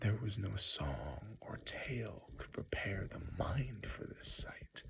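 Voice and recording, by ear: A sample of reading aloud in a natural voice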